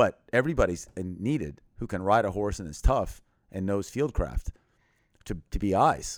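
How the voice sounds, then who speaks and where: In an American accent, a man with an ordinary speaking voice talks at a moderate pace, his fairly low pitch carried by lively intonation and big swings in loudness. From Thailand (American missionary family). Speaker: missionary and humanitarian aid worker in war zones. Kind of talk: podcast interview.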